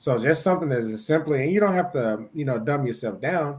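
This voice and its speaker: The speaker is a man. An American accent shapes his words. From Mississippi, US South. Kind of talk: casual discussion. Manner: fast at times; stumbles over words.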